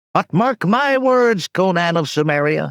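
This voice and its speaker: This man uses a put-on character voice that is raspy and high-pitched. His pitch swings very widely, and his pace is moderate. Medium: read story.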